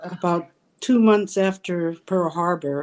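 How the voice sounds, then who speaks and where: The speaker talks at a very slow pace with an American accent. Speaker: elder panelist, former incarceree. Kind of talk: personal testimony.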